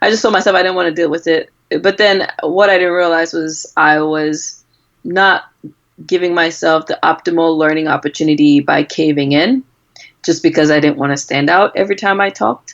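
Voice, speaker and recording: With an American accent, this speaker talks at a moderate pace, and the pitch varies in an ordinary way. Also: woman, fairly low pitch for a woman. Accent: Cameroonian accent, noticeable to US patients. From Cameroon. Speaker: physician. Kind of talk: interview.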